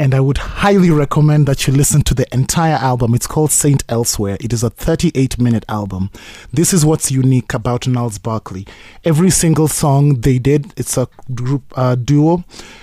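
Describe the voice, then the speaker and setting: On a very clean recording with a silent background, a man speaks at a medium pitch and a moderate pace. His voice is somewhat breathy, with ordinary pitch variation. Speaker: actor and TV host. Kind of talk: casual interview chat. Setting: studio.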